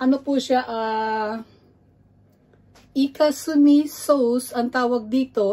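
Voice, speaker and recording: A woman talks with ordinary pitch variation. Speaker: cooking vlogger. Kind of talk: cooking tutorial. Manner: halting.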